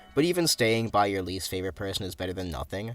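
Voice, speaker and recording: A man with a fairly low pitch and lively intonation, talking at a very fast pace over background music. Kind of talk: casual talk while drawing.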